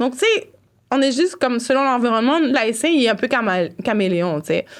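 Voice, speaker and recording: A woman speaks in a high voice with very wide swings in pitch. Her pace is fairly quick. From Montreal, Quebec (east Rosemont), Haitian family. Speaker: cultural worker and blogger. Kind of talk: casual interview conversation. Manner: animated, lots of fillers.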